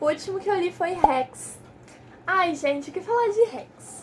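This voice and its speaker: Over noticeable background noise, a woman's pitch swings very widely. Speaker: book youtuber. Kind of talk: casual book review vlog. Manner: animated; fast.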